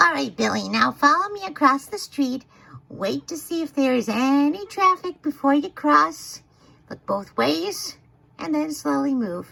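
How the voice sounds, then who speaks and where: The pace is moderate. The voice is a put-on character voice. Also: female-sounding voice, high pitch for a woman. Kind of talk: funny animal voice-over of a video. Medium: dub.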